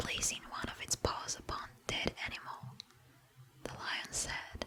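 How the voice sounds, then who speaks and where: Whispering at a fairly slow pace, a woman is heard over noticeable background noise. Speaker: ASMR creator. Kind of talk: fable reading, bedtime story. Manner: whispered with mouth sounds.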